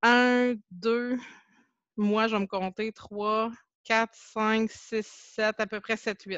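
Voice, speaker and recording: In a Quebec accent, a woman speaks at a very slow pace and fairly high pitch with monotone, flat intonation, the sound dry and close with no echo against a quiet background. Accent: Québécois French. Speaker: Facebook group administrator, teacher. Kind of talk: casual interview.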